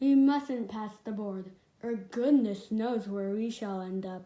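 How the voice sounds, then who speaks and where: The woman puts on a character voice, fairly high in pitch and fairly slow in pace. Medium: read story. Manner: cross.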